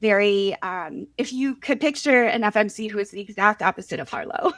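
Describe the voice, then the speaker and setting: A woman with an American accent uses a normal speaking voice at a fairly high pitch. Her lively, fairly quick delivery has a dry, close sound with no echo. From US Northeast, Philadelphia. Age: 40s. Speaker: author. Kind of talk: podcast interview.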